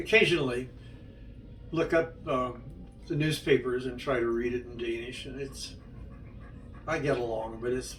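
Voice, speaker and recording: Amid audible room echo and music in the background, a man speaks at a moderate pace with big swings in loudness and long, frequent pauses. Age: 80s+. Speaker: interviewee recounting his life. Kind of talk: life story interview. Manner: halting.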